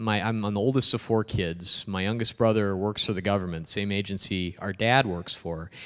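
A man with an ordinary speaking voice talks at a moderate pace, his pitch fairly low and his intonation fairly even, against a quiet background. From Peoria, Illinois. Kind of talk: public talk. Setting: parish hall with audience.

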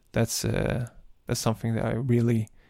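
Against a silent background in a very clean recording, a man's voice has a dark, mellow tone at a medium pitch. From Sweden, Malmö (Turkish parents). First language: Swedish or Turkish. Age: 40s. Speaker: podcast host, Islamic speaker. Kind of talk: religious podcast monologue.

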